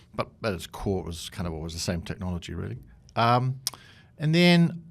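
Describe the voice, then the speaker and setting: In a northern English accent, a man speaks at a moderate pace. His pitch swings very widely. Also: long, frequent pauses. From northeast England. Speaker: tech executive and board chair. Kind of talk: podcast interview. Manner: casual, hesitant with fillers.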